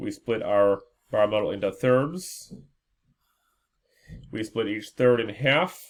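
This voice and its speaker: A man speaks at a very slow pace in a medium pitch, with long, frequent pauses. His intonation is lively. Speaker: schoolteacher. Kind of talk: tutorial.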